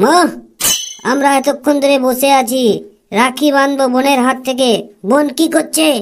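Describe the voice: A cartoonish character voice, high in pitch, moves along at a moderate pace.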